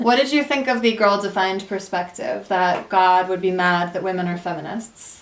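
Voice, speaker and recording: A woman speaks at a moderate pace with a medium pitch and ordinary pitch variation, hardly pausing at all. It is a normal speaking voice. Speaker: podcast host and interviewer. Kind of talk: interview questions.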